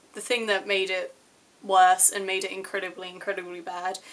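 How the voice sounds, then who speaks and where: A woman talks at a moderate pace and medium pitch with monotone, flat intonation. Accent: English. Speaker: vlogger. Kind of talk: personal vlog. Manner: casual.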